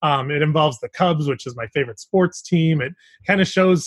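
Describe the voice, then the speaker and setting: Speech comes at a fairly quick pace. It sounds somewhat breathy, and the pitch varies in an ordinary way. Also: man. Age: 40s. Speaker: elementary school teacher and author. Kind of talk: interview. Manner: halting.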